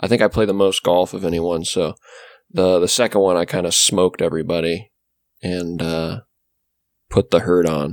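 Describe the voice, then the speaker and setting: Over a dry, close sound with no echo, a man with a very deep, low voice speaks at a moderate pace, his fairly even delivery broken by long, frequent pauses. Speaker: podcast co-host. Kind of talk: casual chat.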